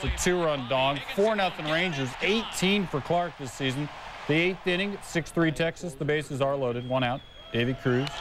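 Over noticeable background noise, a man talks at a moderate pace. His pitch is fairly high, with ordinary variation. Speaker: sports highlights anchor. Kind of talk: baseball highlights narration.

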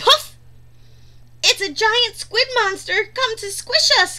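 Delivered in a put-on character voice, the speech is squeaky and extremely high in pitch, moving at a fairly slow pace. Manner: frightened.

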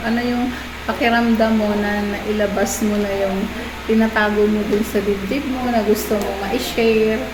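A woman with a fairly high pitch talks amid audible room echo and noticeable background noise. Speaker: family vlogger. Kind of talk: casual chat.

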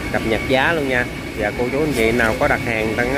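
Loud background noise and a dry sound with no echo. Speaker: seafood buyer vlogger. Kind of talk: casual vlog chat. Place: market. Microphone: phone near.

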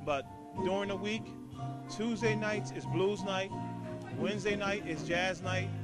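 Clear music plays behind a man whose voice sounds dry with no echo. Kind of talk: promotional talk to camera. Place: bar. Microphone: handheld.

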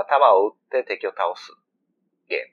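A man with a Kansai accent at a moderate pace, the sound dry and close with no echo. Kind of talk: casual let's-play chat.

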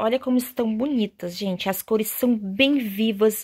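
Against a quiet background, a woman speaks in an animated, warm tone that is somewhat breathy. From Brazil. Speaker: fabric shop seller and sewing channel host. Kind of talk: sales pitch, street-vendor style promo showing fabrics. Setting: video. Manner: animated, chatty and warm; fast, persuasive, diminutive-laden. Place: workshop. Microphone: phone near.

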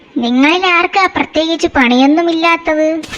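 A squeaky, cartoonish character voice at an extremely high pitch and a moderate pace. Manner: wheedling, scheming.

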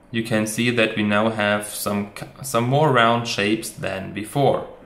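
With audible room echo around him, a man speaks at a fairly slow pace. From Germany. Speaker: motion designer and tutorial creator. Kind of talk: software tutorial. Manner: casual, with frequent fillers.

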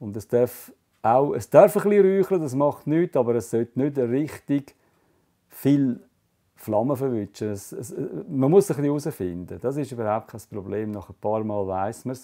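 Dark and mellow, a man's medium-pitched voice moves at a moderate pace with very wide pitch swings. His loudness swings a lot, and the background is quiet. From Switzerland. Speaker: fly tying artist. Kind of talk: hands-on craft demonstration. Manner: casual, explanatory. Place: workshop.

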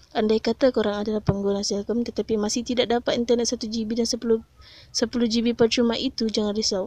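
In a Malaysian accent, a woman with a fairly high pitch and a dark, mellow tone speaks at a fairly quick pace in a flat monotone, with a dry, close sound and no echo. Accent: Malaysian Malay. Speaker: YouTuber tech tips channel admin. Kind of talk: street seller pitchman, hard-sell promo of cheap data plans. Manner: fast, hyped, pushy salesman patter; emphatic, persuasive, promising 'no scam' deals.

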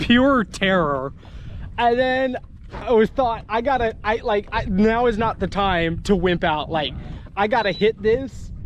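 A man talks at a fairly slow pace. The sound is dry with no echo, over light background noise. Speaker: fishing vlogger. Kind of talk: casual vlog chat. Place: boat. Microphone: phone near.

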